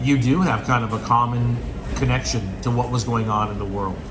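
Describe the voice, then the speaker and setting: With an American accent, a man speaks at a moderate pace amid noticeable background noise and audible room echo. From United States. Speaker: travel vlogger. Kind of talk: interview. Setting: outdoors on a beach.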